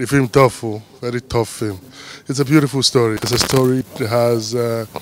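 With light background noise and a dry sound with no echo, the speaker talks at a moderate pace with fairly even intonation. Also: man. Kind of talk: interview answer. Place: street. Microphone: handheld.

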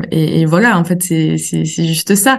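This woman has a normal speaking voice, fairly low in pitch. She talks at a fairly slow pace. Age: 20s. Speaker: naturopath. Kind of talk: interview.

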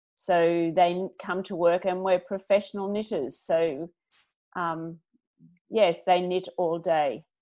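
With an Australian accent, a woman talks at a very slow pace against a quiet background. Her tone is dark and mellow, and her intonation is fairly even. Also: fairly low pitch for a woman. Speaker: business founder; interview guest. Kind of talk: interview; interview answer. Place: home room. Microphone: earbuds.

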